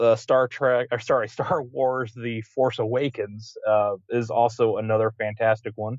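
Here is a man with a plain, everyday voice, in an American accent. He talks at a fairly slow pace, with a medium pitch and fairly even intonation. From West Virginia, Huntington. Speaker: podcast co-host, film fan. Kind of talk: casual chat.

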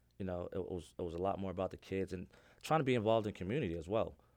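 The recording is very clean, with a silent background. A man with an American accent and a very deep, low pitch talks at a very fast pace, with ordinary pitch variation. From New York City, the Bronx. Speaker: high school basketball coach. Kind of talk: casual interview.

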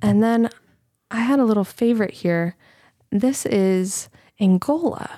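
A woman talks at a fairly slow pace with long, frequent pauses, in a dark, mellow tone. Her pitch is fairly high with ordinary variation, and her loudness stays very even. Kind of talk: casual chat, joking banter.

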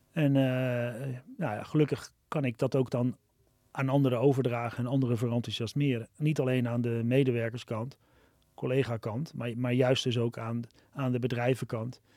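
On a very clean recording with a silent background, a man talks at a medium pitch in a dark, mellow tone with monotone, flat intonation. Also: moderate pace. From Amsterdam, Netherlands. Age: 50s. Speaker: social entrepreneur, restaurant founder. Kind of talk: podcast interview. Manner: halting, many fillers and repetitions.

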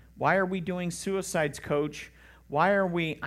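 In a put-on character voice, a man speaks high-pitched and monotone at a moderate pace on a very clean recording with a silent background. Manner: whining, complaining.

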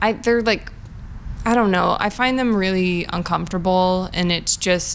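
Delivered at a moderate pace, a plain, everyday voice keeps very even loudness and fairly even intonation. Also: woman, medium pitch for a woman. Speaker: comedian.

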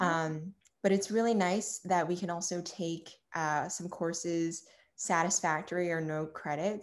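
A woman with an American accent uses an ordinary speaking voice with fairly low pitch and fairly even intonation at a moderate pace. The recording is very clean, with a silent background. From Long Island, New York. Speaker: college student. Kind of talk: casual interview.

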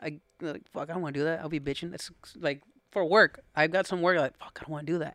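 A man's fairly high, bright, sharp voice at a very fast pace, with fairly even intonation and big swings in loudness. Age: 20s. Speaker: landscaping business owner. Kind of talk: casual chat.

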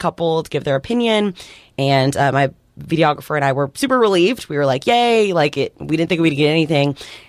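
Speaking very fast with lively intonation, a woman has a very deep, low pitch in a very clean recording with a silent background. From Texas. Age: 20s. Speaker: TV news reporter. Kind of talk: radio interview. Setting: radio studio.

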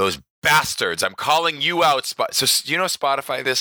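A bright, sharp voice with vocal fry moves at a fairly slow pace. The recording is very clean and dry, with a silent background and a close sound with no echo. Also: man. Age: 40s. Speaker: podcast host and bodybuilding show emcee. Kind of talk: casual chat. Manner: animated.

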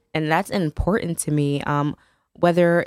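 The sound is dry and close, with no echo. A woman with an American accent speaks at a moderate pace. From US Northeast, New Haven, Connecticut. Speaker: nonprofit founder. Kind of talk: radio interview.

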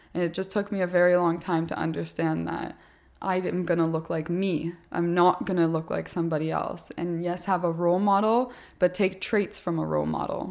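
In a very clean recording with a silent background, a woman speaks at a moderate pace in a fairly low, monotone voice with flat intonation. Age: 20s. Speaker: fitness podcast host and influencer. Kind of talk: podcast interview.

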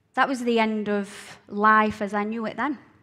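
A woman with a fairly high voice speaks at a fairly slow pace amid noticeable background noise. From Scotland, Glasgow. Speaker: speaker sharing life story. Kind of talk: personal testimony.

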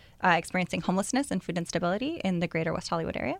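A woman with an American accent and a medium pitch in a very clean recording with a silent background. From Northern California, East Bay. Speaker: cookbook author and recipe developer. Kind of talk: casual chat.

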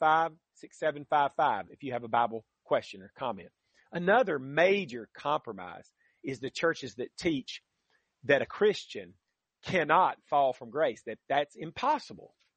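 At a fairly slow pace, a man speaks with vocal fry, very wide pitch swings and big swings in loudness. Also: fairly high pitch for a man. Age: 60s. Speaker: radio Bible teacher. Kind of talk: radio Bible teaching.

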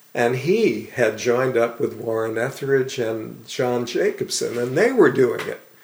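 The man talks at a fairly slow pace. Noticeable background noise can be heard. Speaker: screenwriting teacher. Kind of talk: interview.

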